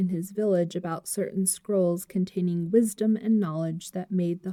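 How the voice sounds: Natural voice, reading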